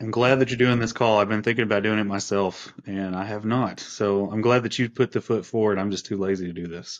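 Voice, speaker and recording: Fairly quick, fairly even delivery with hardly any pauses against a quiet background. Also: man, fairly low pitch for a man. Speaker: remote podcast guest. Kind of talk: casual conversation. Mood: relaxed, joking. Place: office. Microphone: video call.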